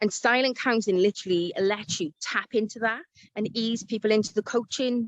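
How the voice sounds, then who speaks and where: The recording of a woman with a Welsh accent sounds dry and close with no echo, and her pitch varies in an ordinary way. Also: fairly high pitch for a woman, fairly quick pace. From South Wales. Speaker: life coach. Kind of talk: interview.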